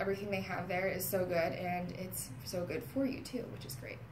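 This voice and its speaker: A woman talks at a fairly quick pace in an American accent. Noticeable background noise runs beneath her. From Maryland, US. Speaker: public relations account coordinator. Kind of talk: casual interview. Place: office. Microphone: camera far.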